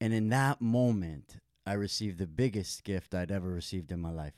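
A man with an American accent and a plain, everyday voice speaks at a fairly quick pace in a fairly low pitch with ordinary pitch variation, in a dry, close sound with no echo on a very clean recording with a silent background. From Santa Monica, California. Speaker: yoga and meditation teacher. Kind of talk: casual interview.

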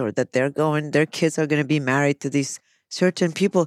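On a very clean recording with a silent background and a dry, close sound with no echo, a woman speaks in a very deep, low voice with ordinary pitch variation. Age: 50s. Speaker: psychologist. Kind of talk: casual chat.

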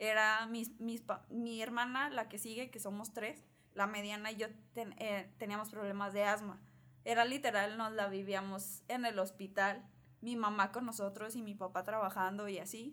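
Her tone is bright and sharp, and this woman's pitch is fairly high. She keeps a monotone, flat intonation at a moderate pace. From northern Mexico, Torreón, Coahuila. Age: 20s. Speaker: architect. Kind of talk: interview.

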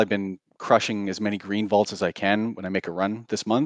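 In a Western Canadian accent, the speaker talks at a fairly quick pace, with a dry, close sound and no echo. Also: man. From Canada. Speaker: game community moderator. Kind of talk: casual chat.

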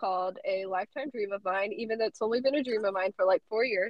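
In an American accent, a woman with an ordinary speaking voice talks at a fairly high pitch with lively intonation. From South Carolina. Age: young. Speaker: college student. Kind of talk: interview.

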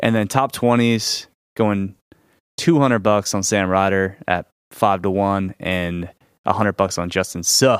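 A man with an American accent and a plain, everyday voice speaks at a fairly slow pace and fairly low pitch with ordinary variation, on a very clean recording with a silent background. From Florida. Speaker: sports betting co-host. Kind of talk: casual chat.

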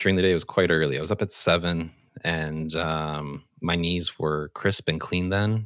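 A man with a very deep, low pitch talks at a moderate pace with fairly even intonation. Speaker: podcast co-host. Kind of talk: casual banter podcast.

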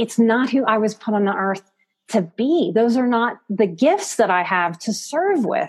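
Using a normal speaking voice with an American accent, a woman talks at a fairly slow pace and a fairly high pitch, with lively intonation. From US South, New Orleans. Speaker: psychotherapist and life coach. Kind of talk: interview.

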